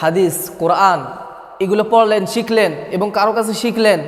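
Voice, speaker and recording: Audible room echo and noticeable background noise accompany a man's high voice, which keeps fairly even intonation. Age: 20s. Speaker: Islamic preacher. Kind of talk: sermon.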